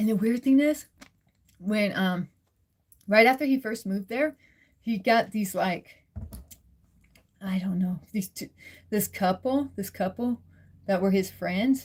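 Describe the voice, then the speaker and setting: A somewhat breathy female voice at medium pitch, fairly slow, with long, frequent pauses and ordinary pitch variation. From Nova Scotia, Canada. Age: 40s. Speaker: live streamer. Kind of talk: casual chat. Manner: halting, many fillers.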